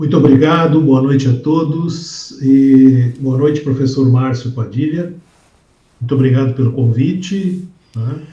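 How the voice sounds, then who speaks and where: A man with a dark, mellow, somewhat breathy tone speaks fairly slowly at medium pitch, with ordinary pitch variation. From southern Brazil, Porto Alegre. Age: 60s. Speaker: safety instructor and professor. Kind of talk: interview.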